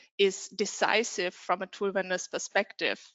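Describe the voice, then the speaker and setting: A woman speaks with a non-native accent. Her pitch is medium and her pace fairly slow. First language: not English. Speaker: software vendor representative. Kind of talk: reading aloud; panel discussion.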